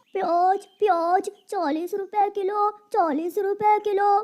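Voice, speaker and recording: A cartoonish character voice at an extremely high pitch creeps along at a very slow pace. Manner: polite, earnest; soft, caring.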